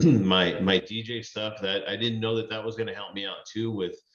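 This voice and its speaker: Room echo is clearly audible, and the delivery keeps a moderate pace. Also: man. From US, Mexican-American. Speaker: food content creator. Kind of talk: casual interview chat.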